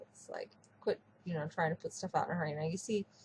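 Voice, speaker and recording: A woman speaks with a medium pitch and a somewhat breathy quality. The sound is dry and close, with no echo. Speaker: 3D artist, webcomic creator. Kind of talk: casual software tutorial talk.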